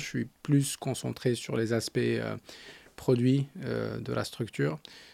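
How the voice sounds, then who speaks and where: The voice has a dark, mellow tone and moves at a fairly slow pace. The recording is very clean, with a silent background. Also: man. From Morocco, Agadir. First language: Arabic (speaking French). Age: 30s. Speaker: startup founder and CEO. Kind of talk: interview. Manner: halting.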